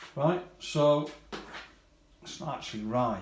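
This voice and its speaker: A somewhat breathy man speaks with ordinary pitch variation, and audible room echo surrounds his voice. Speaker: scale model hobbyist YouTuber. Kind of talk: product unboxing review. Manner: halting, repeats words.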